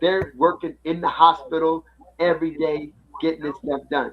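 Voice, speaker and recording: Here a man talks at a moderate pace in a fairly high voice. He has a plain, everyday voice. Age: 60s. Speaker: finance podcast co-host. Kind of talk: casual chat.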